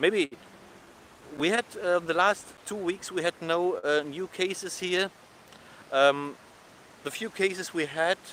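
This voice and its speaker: A man talks fairly slowly at a high pitch with fairly even intonation. Noticeable background noise is present. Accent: German. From Germany. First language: German. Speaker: travel vlogger. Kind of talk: live stream vlog. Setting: outdoors, walking on beach. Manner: halting, many fillers.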